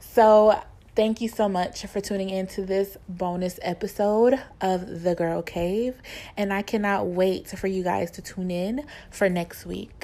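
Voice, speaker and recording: A woman speaks at medium pitch with a dark, mellow tone. Her intonation is fairly even and her pace fairly slow, on a very clean recording with a silent background. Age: 20s. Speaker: podcast co-host. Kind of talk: casual chat.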